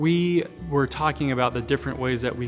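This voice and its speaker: A man with clear music in the background. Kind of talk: interview answer. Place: hall. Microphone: lapel.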